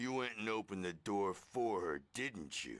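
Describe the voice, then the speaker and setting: A raspy, put-on character voice from a man, fairly low in pitch, at a moderate pace. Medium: video game. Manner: gruff, excitable.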